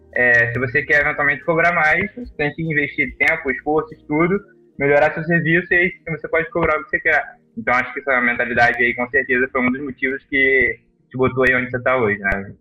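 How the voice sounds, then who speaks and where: A man races along at a very fast pace, his fairly high pitch varying in an ordinary way. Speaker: podcast host. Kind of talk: casual chat.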